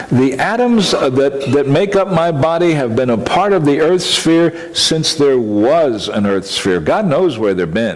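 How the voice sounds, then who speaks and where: A man with a fairly high voice swings his pitch very widely. Room echo and noticeable background noise are audible. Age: 70s. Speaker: minister. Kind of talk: conference presentation. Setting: conference talk with audience.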